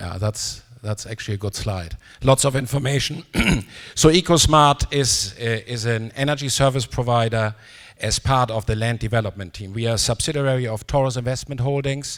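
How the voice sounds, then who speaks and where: A man with an unremarkable speaking voice talks at a moderate pace in a medium pitch with ordinary variation. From German-Canadian. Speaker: company executive, panelist. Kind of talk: conference panel presentation.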